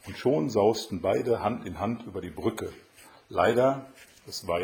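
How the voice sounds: Lively intonation in a natural reading voice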